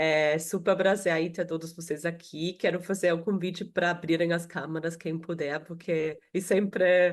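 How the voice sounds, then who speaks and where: Against a quiet background, a woman with an Austrian accent talks at a fairly slow pace in a fairly low pitch with monotone, flat intonation. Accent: noticeable Austrian accent in Portuguese. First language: German (speaking Portuguese). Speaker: HR professional. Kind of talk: webinar panel talk. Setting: video call.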